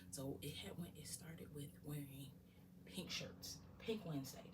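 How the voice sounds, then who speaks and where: Noticeable background noise runs under a woman's whispering. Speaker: ASMR creator. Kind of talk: ASMR show-and-tell talk to camera. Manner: whispered.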